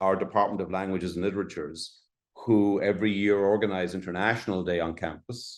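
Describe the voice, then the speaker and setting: A man's fairly low voice with an Irish accent, against a quiet background. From Ireland. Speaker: college dean. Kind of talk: presentation. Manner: halting, many fillers.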